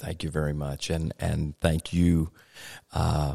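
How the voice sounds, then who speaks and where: The speaker has a Virginia accent. The pace is fairly slow. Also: man. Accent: Southern US (Virginia). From US South. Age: 40s. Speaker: pastor. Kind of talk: podcast interview.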